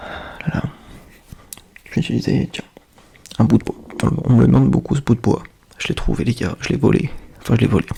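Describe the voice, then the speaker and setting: A soft-spoken man at a fairly quick pace, with big swings in loudness, long, frequent pauses and noticeable background noise. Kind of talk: ASMR soft spoken chat.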